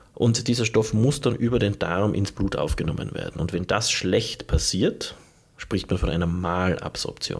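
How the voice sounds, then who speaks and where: At a moderate pace, a man with a fairly low, somewhat breathy voice speaks with ordinary pitch variation. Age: 40s. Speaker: nutrition biologist, podcast host. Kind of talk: educational monologue. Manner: formal.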